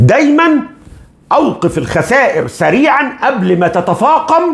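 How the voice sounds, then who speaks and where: An animated man in a Cairo accent, with very wide pitch swings. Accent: Egyptian Arabic (Cairene). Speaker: finance educator. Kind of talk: educational talk.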